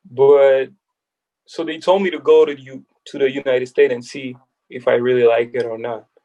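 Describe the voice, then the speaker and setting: A man speaks at medium pitch and a moderate pace, his tone dark and mellow. His intonation is fairly even, while his loudness swings widely. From France, Paris. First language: French. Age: 20s. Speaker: basketball player turned agent. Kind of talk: casual interview. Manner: halting.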